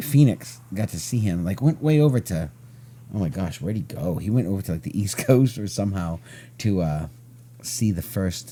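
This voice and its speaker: Loud, dark and mellow, a man's fairly low voice at a moderate pace with very wide pitch swings. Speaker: podcast host. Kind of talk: casual chat.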